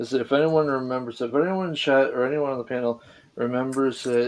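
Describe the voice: The speaker is doing plain reading aloud.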